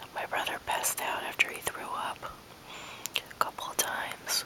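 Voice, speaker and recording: Whispering at a moderate pace, a woman speaks in a relaxed tone over noticeable background noise. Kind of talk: whispered ASMR talk to camera. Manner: whispered, soft, relaxed.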